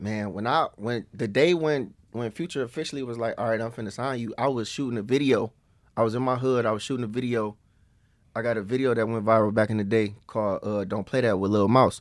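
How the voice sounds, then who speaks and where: A man with an American accent has a plain, everyday voice at a medium pitch, with fairly even intonation. He speaks at a fairly quick pace in a very clean recording with a silent background. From US Midwest, East Cleveland, Ohio. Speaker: rapper. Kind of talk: casual interview.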